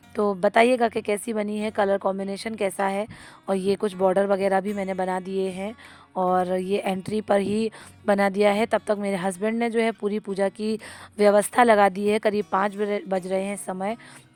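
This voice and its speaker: A woman talks at a moderate pace in a flat monotone. The sound is dry and close, with no echo. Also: medium pitch for a woman. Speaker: vlogger; schoolteacher. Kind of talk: casual home vlog.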